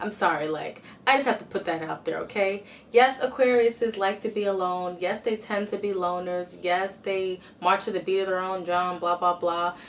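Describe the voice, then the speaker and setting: Medium-pitched female speech at a moderate pace, fairly even in intonation, over noticeable background noise. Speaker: astrology video creator. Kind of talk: casual explanatory monologue. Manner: occasional stutter and filler words.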